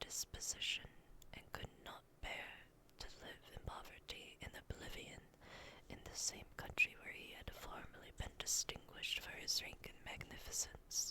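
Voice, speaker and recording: A woman is whispering. Her pace is fairly slow. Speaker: ASMR content creator and vtuber. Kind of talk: whispered ASMR bedtime story reading of a classic novel. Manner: whispered, soft, slow.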